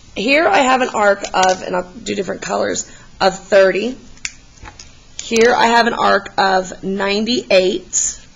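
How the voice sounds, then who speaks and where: This is a woman speaking. Background noise is noticeable throughout. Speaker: math teacher. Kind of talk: tutorial. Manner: encouraging, casual.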